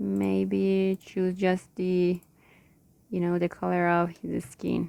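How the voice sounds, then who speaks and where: The words come at a very slow pace in a non-native accent. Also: woman. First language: not English (English is third+ language). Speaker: digital illustrator, tutorial creator. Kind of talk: tutorial. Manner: halting, searching for words.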